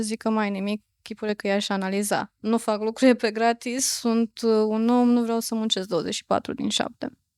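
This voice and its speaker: In a very clean recording with a silent background and a dry, close sound with no echo, a woman speaks at a moderate pace in a fairly high pitch with monotone, flat intonation. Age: 30s. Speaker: psychotherapist. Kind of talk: interview.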